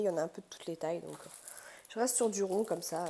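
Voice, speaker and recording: A woman's voice comes through in a dark, mellow tone. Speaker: craft hobby youtuber. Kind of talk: product unboxing vlog. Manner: hesitant, many fillers.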